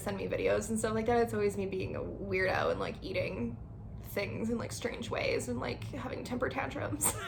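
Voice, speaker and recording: Speech from a woman, marked by room echo and noticeable surrounding noise. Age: 20s. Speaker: lifestyle vlogger. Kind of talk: casual channel introduction. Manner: casual, filler-heavy (like, um).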